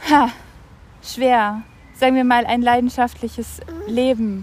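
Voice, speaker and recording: Her pitch fairly high, this woman talks with a monotone, flat intonation. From Germany, Franconia. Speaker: visual artist. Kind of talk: casual interview. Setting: outdoors in a park. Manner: halting.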